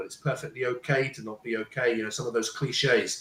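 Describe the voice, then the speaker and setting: A man's somewhat breathy, medium-pitched voice at a fairly quick pace, with fairly even intonation. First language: Punjabi. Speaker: parenting coach and speaker. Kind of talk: panel talk, personal story. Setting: live stream. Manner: halting, with repetitions.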